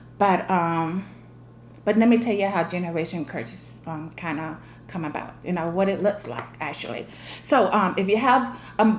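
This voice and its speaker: Lively intonation marks a woman's fairly low voice, heard with audible room echo and noticeable background noise. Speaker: vlogger. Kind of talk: casual monologue to family.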